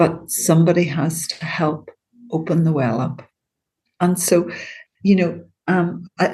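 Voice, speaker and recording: A woman with a Northern Irish accent speaks at a fairly low pitch. Her voice is somewhat breathy. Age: 60s. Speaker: CBT therapist. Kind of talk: interview.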